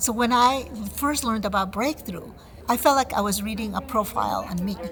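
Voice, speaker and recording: The speaker talks at a fairly quick pace with a Spanish accent. Vocal fry is present, and the pitch varies in an ordinary way. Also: woman, fairly high pitch for a woman. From Connecticut, US (born in Ecuador). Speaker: program alumna. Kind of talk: testimonial interview.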